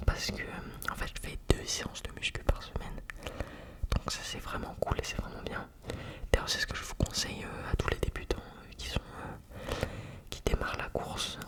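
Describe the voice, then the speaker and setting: Whispering with a calm tone, a man leaves long, frequent pauses and shows big swings in loudness over noticeable background noise. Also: moderate pace. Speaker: amateur runner. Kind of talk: ASMR personal talk. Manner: calm, relaxing; whispered.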